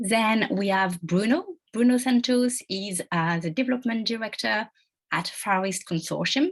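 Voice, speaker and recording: A somewhat breathy voice with a French accent at a moderate pace. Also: woman, fairly high pitch for a woman, lively intonation. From France. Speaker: webinar moderator. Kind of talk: panel moderation.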